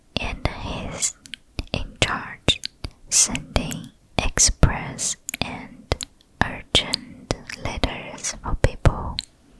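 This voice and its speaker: Whispering in a gentle tone, the speaker goes at a very slow pace with long, frequent pauses. Noticeable background noise runs underneath. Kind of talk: ASMR roleplay, comforting soft-spoken show and tell. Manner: soft-spoken, gentle, comforting.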